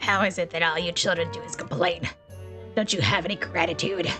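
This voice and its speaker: A put-on character voice, guttural and strained, at a middle pitch and fairly quick pace, with clear music in the background. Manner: complaining, haughty.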